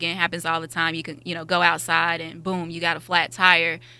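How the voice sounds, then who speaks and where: A woman's fairly low, bright, sharp voice at a fairly quick pace, monotone and flat, on a very clean recording with a silent background. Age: young. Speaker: company sales representative. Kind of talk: sales pitch.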